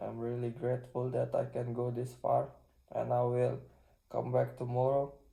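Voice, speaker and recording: With a non-native accent, a man talks at a moderate pace. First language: not English. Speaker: self-improvement vlogger. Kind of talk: casual vlog monologue. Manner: halting.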